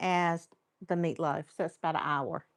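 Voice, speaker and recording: A woman speaks with a North Carolina accent. The recording is very clean and the background silent. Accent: North Carolina Southern American. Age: 60s. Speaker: cooking channel host. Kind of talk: live stream cooking tutorial with chat. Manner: casual, chatty.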